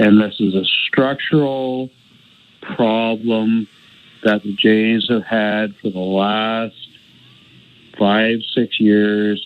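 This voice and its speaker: At a very slow pace with long, frequent pauses, a man speaks in a fairly low, monotone voice with flat intonation. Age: 60s. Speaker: caller. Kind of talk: radio call-in. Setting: phone call.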